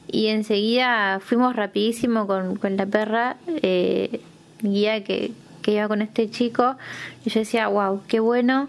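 A woman speaks at a fairly slow pace. Her fairly high voice stays monotone and flat. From Argentina, Santa Fe province. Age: 20s. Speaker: blind guide dog user. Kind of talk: testimony. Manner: hesitant, many fillers.

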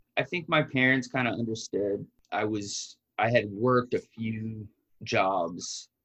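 This man has a plain, everyday voice at a medium pitch. His pitch variation is ordinary. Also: dry, close sound with no echo. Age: 30s. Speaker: business founder. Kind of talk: interview.

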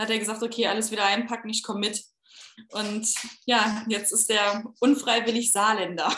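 This woman's voice has a bright, sharp tone and a fairly high pitch. She speaks at a moderate pace with monotone, flat intonation. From Saarland, Saarbrücken. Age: 30s. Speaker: fertility patient sharing her story. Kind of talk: interview, personal testimony.

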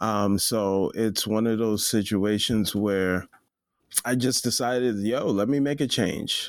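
An unremarkable speaking voice from a man with fairly low pitch, a fairly slow pace and fairly even intonation, captured in a very clean recording against a silent background. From US (Nigerian-born, raised in America from age three). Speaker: photographer. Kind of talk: casual chat.

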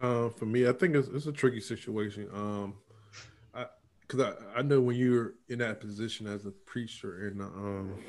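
At a moderate pace, a man uses an ordinary speaking voice, his pitch medium and its variation ordinary. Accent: American. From Norfolk, Virginia. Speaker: podcast host. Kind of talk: casual chat.

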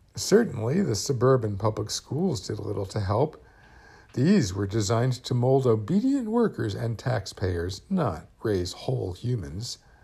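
Slowish in pace, a man with an American accent has a dark, mellow tone marked by vocal fry. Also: medium pitch for a man. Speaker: podcast host. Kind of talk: scripted narration.

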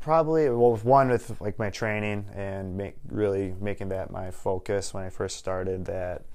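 At a moderate pace and with hardly any pauses, a man speaks in an unremarkable speaking voice pitched fairly low. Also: ordinary pitch variation. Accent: American. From Wisconsin, Waukesha. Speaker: real estate agent. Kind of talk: podcast interview.

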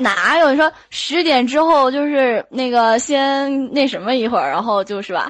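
A woman's high voice at a fairly slow pace with hardly any pauses and ordinary pitch variation, over noticeable background noise. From Shandong, Yantai. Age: young. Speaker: student athlete. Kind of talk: casual chat. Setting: voice chat room.

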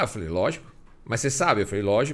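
Lively intonation runs through a plain, everyday voice. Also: man. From Acre, Brazil (Rio Branco). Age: 50s. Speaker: motorcycle riding instructor, former highway police officer. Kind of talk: casual interview chat.

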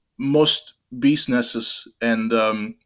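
A man is speaking. He has a slight French accent. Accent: French undertone. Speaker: development worker. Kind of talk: interview. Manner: halting, many fillers.

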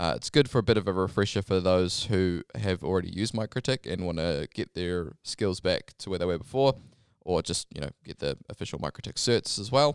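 With a New Zealand accent, a man talks fairly quickly in a very deep, low pitch and lively intonation, on a very clean recording with a silent background and a dry, close sound with no echo. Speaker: podcast host at a wireless company. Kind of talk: casual interview chat. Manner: informal, hesitant with filler words.

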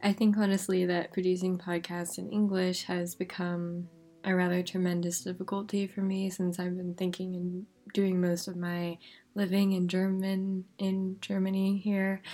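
A soft-spoken voice with a dark, mellow tone speaks in a flat monotone at a moderate pace on a very clean recording with a silent background. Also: woman, medium pitch for a woman. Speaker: podcast host. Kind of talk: casual podcast monologue. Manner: soft-spoken, quiet.

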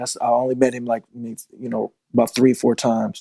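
A man's dark, mellow voice with an American accent at a very fast pace, dry and close with no echo. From Richmond, Virginia. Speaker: rapper. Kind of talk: casual chat.

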